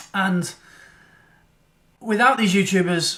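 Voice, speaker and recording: In a British accent, a man speaks with a high-pitched voice. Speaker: photography vlogger. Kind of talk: casual vlog chat.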